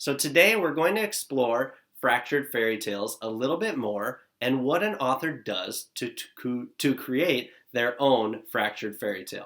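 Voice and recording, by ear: A man talks at a moderate pace with medium pitch. His tone is fairly bright and his intonation lively.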